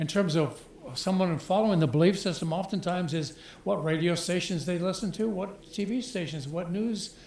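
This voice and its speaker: Echo from the room is audible as a man speaks at a moderate pace. His pitch is high, with ordinary variation. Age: 80s+. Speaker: audience member in a discussion. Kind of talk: group discussion comment.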